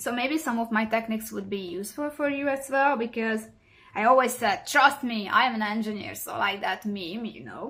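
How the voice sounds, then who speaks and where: A woman speaks with a central European accent in a bright, sharp, fairly high voice. Her pace is moderate and her pitch variation ordinary. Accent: non-native central European English. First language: neither English nor German. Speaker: cross-stitch hobby vlogger. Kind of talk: casual craft vlog monologue. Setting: home recording. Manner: halting, many fillers.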